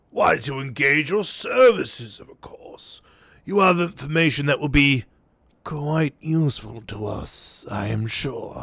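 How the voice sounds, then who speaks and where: Using a raspy, put-on character voice, a man speaks at a fairly slow pace with a fairly high pitch and lively intonation. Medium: game stream. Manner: oily, smooth-talking.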